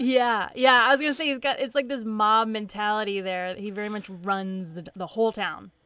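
A woman with a slight Southern US accent sounds animated and enthusiastic, fairly high in pitch with big swings in loudness. She keeps a moderate pace with hardly any pauses, on a very clean recording with a silent background. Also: ordinary pitch variation. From Tennessee, US South. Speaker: comic book podcast host. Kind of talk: casual chat, podcast discussion. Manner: animated, enthusiastic.

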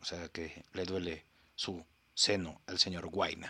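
A man with a Mexican accent, very deep and low in pitch, bright and sharp in tone, at a very slow pace, in a very clean recording over a silent background. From Mexico. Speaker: podcast host. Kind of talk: casual comedic commentary. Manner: animated.

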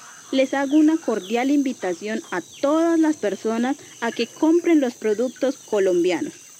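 Against noticeable background noise, a woman speaks at a fairly slow pace. Her voice is high, with very wide pitch swings. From Colombian Amazon, Leticia. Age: young. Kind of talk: scripted promotional presentation.

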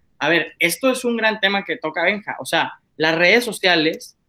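With a bright, sharp tone and lively intonation, a man talks at a moderate pace. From Monclova, Coahuila, northern Mexico. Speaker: podcast guest. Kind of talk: casual chat.

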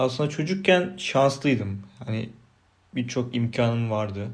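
A medium-pitched man's voice with audible room echo. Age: 30s. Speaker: podcaster. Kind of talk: unscripted solo monologue. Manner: unpolished, self-repeating, swallowing words.

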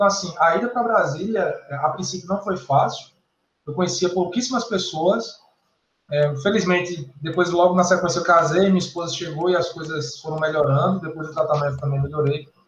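A man with a high-pitched voice speaks at a fairly quick pace, his pitch varying in an ordinary way. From Paraíba, northeastern Brazil. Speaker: electrical engineering professor. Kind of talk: interview.

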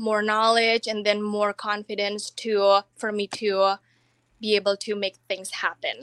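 A woman's bright, sharp, fairly high voice in a dry, close sound with no echo. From Indonesia. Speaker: online entrepreneur. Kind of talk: interview.

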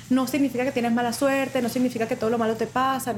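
A woman's high voice over noticeable background noise. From Venezuela, Mérida. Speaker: chef and restaurant owner. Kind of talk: interview.

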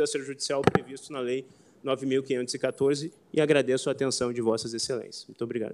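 A man speaks in a fairly high voice. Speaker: public defender. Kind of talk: oral argument. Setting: court plenary session. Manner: formal.

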